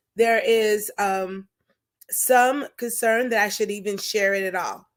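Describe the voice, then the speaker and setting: On a very clean recording with a silent background, a woman speaks loud and fairly slow, at a fairly high pitch with monotone, flat intonation. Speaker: talk show host and stalking survivor. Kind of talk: personal testimony on live show. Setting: Facebook live stream. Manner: loud, projecting; halting with fillers.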